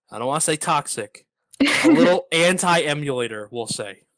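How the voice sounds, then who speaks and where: Here is a plain, everyday voice with lively intonation at a moderate pace. The sound is dry and close, with no echo. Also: man. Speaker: podcast host. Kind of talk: podcast interview, conversational.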